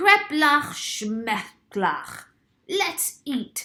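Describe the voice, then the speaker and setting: A woman uses a put-on character voice. Her pitch is high, with very wide swings. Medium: read story.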